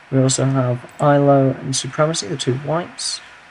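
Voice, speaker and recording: The speech is monotone and flat, with noticeable background noise behind it. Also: man. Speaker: game commentator. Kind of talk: video game match commentary. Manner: casual, humorous.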